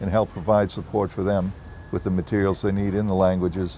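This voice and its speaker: In a Boston accent, a man talks at a fairly low pitch with a dark, mellow tone. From US Northeast, Boston. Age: 70s. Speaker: property developer executive. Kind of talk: interview.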